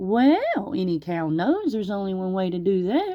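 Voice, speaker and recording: A female-sounding, put-on character voice at a medium pitch for a woman. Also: moderate pace. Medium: read story.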